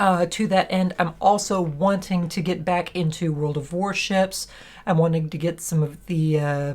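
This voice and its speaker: A woman speaks with a fairly low pitch at a moderate pace. Her intonation stays fairly even. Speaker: gaming youtuber. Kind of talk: casual channel update vlog. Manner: halting, many restarts.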